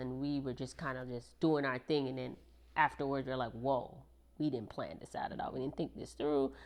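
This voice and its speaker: Over a quiet background, a woman with a slight Jamaican accent speaks at a fairly quick pace in a very deep, low pitch. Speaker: military service member, married guest. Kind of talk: casual podcast interview.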